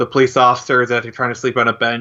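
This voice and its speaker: The tone is bright and sharp. It belongs to a man speaking at a medium pitch. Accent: Upper Midwest. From Michigan. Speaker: comic creator. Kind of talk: interview. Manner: halting.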